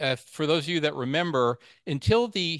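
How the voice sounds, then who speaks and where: In an American accent, a man with an ordinary speaking voice talks at a fairly quick pace with ordinary pitch variation, the sound dry and close with no echo against a quiet background. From New York, Long Island. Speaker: amateur radio presenter, chemist. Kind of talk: club presentation talk. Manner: casual, with frequent fillers.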